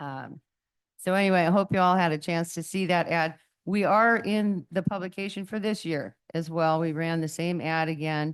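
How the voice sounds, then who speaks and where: Over a quiet background, a woman with a fairly low pitch talks at a moderate pace with fairly even intonation. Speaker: visitor center representative. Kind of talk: public presentation at council meeting. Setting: city council meeting. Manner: loud.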